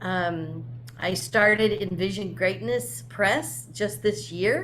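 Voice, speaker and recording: At a very slow pace, a woman speaks with very wide pitch swings. Audible room echo surrounds her voice. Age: 60s. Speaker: spiritual medium and author. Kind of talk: casual interview.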